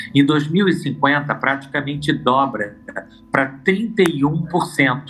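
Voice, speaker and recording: A man speaks at a fairly slow pace in a fairly high pitch, with very even loudness and ordinary pitch variation. Noticeable background noise runs under his voice. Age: 60s. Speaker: expert on aging. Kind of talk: TV interview. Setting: at an expo.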